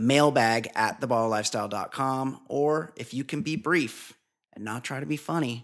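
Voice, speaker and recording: A normal speaking voice at a moderate pace. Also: man, medium pitch for a man, lively intonation, very clean recording, silent background. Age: 40s. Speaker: podcast host. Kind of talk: casual chat. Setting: studio.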